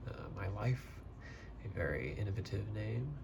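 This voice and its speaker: A soft-spoken man with a very deep, low voice and a fairly slow pace. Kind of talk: ASMR soft-spoken casual talk to camera about books. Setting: typical close-mic ASMR recording at home.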